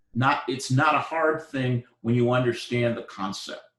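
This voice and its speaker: A man with a somewhat breathy voice at medium pitch speaks at a fairly slow pace. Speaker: university lecturer. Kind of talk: lecture. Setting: live classroom lecture.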